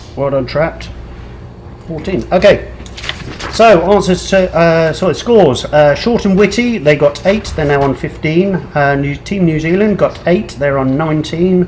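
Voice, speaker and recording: Over noticeable background noise, a man mumbles at a moderate pace in a fairly high pitch with ordinary pitch variation. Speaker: pub quiz host. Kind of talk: live online quiz hosting, reading scores. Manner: mumbling.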